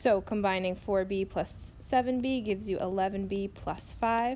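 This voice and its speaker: A woman's medium-pitched voice, an unremarkable speaking voice, at a fairly slow pace with ordinary pitch variation. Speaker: math teacher. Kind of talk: tutorial.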